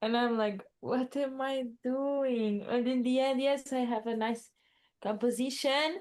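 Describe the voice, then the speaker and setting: Speaking fairly slowly in a Portuguese accent, a woman with a high voice keeps her loudness very even and her intonation fairly even. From Portugal. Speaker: musician and artist. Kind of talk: casual interview chat. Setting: remote call.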